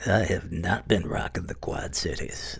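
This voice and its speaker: A man talks at a moderate pace in a put-on character voice. Light background noise can be heard. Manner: brash, aggressive, hyped.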